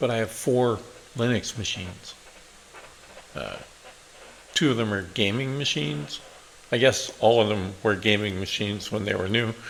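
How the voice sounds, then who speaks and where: The speaker keeps a moderate pace with long, frequent pauses and ordinary pitch variation, over noticeable background noise. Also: man, fairly low pitch for a man. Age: 60s. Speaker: programmer and tech YouTuber. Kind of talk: casual channel introduction. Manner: hesitant with frequent fillers.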